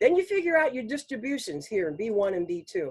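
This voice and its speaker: A woman talks at a fairly quick pace with a fairly high pitch. Her pitch swings very widely. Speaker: business trainer and speaker. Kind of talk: online training presentation. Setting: pre-recorded online presentation. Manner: fast.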